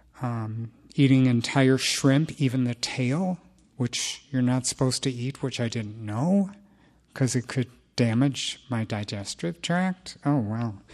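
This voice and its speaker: In a quiet background, a man with a plain, everyday voice speaks at a fairly slow pace and medium pitch, with ordinary pitch variation. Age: 60s. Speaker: recovery group speaker. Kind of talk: testimony.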